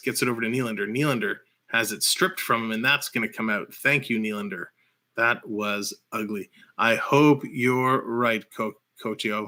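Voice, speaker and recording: A bright, sharp tone at a moderate pace with a Canadian accent, on a very clean recording with a silent background. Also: man. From Canada. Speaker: hockey livestream host. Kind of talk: live play-by-play commentary. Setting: livestream.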